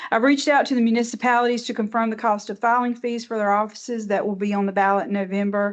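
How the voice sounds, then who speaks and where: A woman with a Southern US accent talks at a very fast pace with hardly any pauses, using a fairly high pitch and fairly even intonation. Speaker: elections director. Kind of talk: board meeting report.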